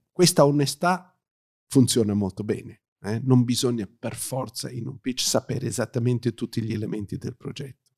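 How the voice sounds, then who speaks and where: A somewhat breathy man with an English accent, medium pitch, ordinary pitch variation, moderate pace and big swings in loudness, in a dry, close sound with no echo. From South Africa, Johannesburg, to Italian parents. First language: English (speaking Italian). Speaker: pitch trainer. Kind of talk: interview. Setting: recorded at a writing school event. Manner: hesitant, with fillers.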